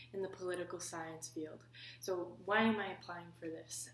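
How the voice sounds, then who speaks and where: A woman speaks in a Canadian Maritime accent. Her voice is fairly low and her pace moderate. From Prince Edward Island, Canada. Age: 20s. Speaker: political science student. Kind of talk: application video talk to camera.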